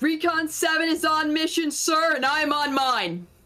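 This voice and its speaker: The speaker uses a put-on character voice at a high pitch. The delivery moves at a fairly slow pace. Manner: yelling, defiant.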